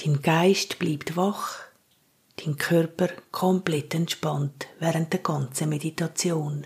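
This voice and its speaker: At a very slow pace, a woman speaks with a fairly low pitch and a monotone, flat intonation. Her tone is calm and soothing, and somewhat breathy. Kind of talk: guided meditation. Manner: slow, calm, soothing.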